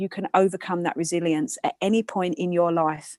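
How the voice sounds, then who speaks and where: A woman at a fairly low pitch with ordinary pitch variation, moderate pace, quiet background and a dry, close sound with no echo. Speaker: personal trainer and beauty therapist. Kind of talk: panel talk to students. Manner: loud.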